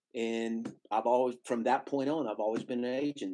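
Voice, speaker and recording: In a Tennessee accent, a man with a dark, mellow tone speaks at a fairly quick pace and medium pitch with fairly even intonation. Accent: Southern US (Tennessee). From Nashville, Tennessee. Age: 60s. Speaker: music booking agent. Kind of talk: interview conversation.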